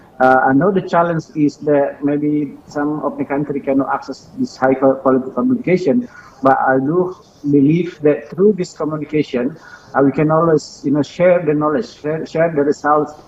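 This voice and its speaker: The background carries noticeable noise. Through it, a man talks at a moderate pace. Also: fairly high pitch for a man, ordinary pitch variation. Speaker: professor. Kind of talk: webinar talk. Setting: video call. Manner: halting.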